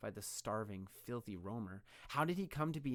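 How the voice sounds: Lively intonation marks a natural reading voice.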